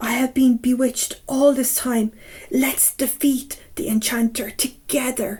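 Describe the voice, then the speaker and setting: A woman uses a put-on character voice, pitched high. She speaks at a fairly slow pace with fairly even intonation. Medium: read story.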